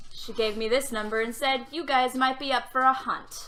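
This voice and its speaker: Using a growling put-on character voice, a woman speaks high-pitched at a moderate pace. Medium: actual play. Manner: curt, unfriendly.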